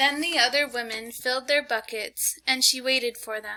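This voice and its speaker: The voice is raised and projected, moving at a moderate pace with fairly even intonation. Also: woman. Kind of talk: storytelling read.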